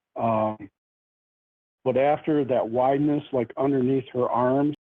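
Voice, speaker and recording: A man's fairly high-pitched voice at a very slow pace. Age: 60s. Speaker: eyewitness. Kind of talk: interview.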